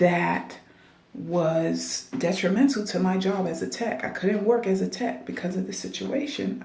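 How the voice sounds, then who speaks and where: A woman speaks quietly at a moderate pace, with audible room echo and noticeable background noise. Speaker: dialysis technician and video blogger. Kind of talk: casual advice monologue. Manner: quiet, talking low.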